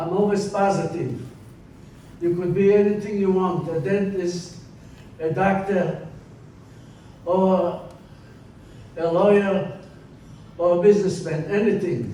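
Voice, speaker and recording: A man with a high pitch talks at a fairly slow pace, pausing long and often. Audible echo fills the room. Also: fairly even intonation. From Poland. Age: 80s+. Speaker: Holocaust survivor speaker. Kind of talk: testimony.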